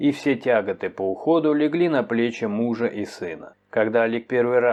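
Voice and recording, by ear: The text is read aloud in a natural voice.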